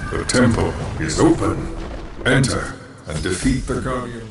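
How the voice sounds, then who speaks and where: At a moderate pace, a man does a put-on character voice at a medium pitch, with slight echo and clear background noise. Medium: game stream. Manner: solemn, grave.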